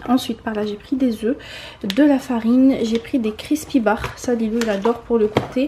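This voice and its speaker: The woman's pitch is high, and her pace is moderate. Noticeable background noise runs behind her. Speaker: vlogger. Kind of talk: casual vlog narration.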